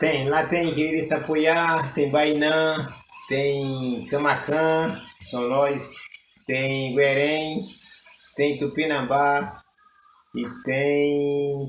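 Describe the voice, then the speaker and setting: A man speaks at a fairly high pitch in a monotone, flat voice, very slowly and with long, frequent pauses. Noticeable background noise and audible room echo fill the recording. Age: 60s. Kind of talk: interview.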